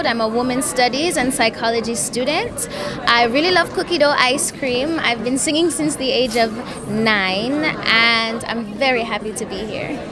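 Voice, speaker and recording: With music playing in the background, a woman speaks at a moderate pace in a high pitch with ordinary pitch variation. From Jamaica. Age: 20s. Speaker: beauty pageant contestant. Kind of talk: interview answer. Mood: warm, upbeat. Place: hall. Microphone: handheld.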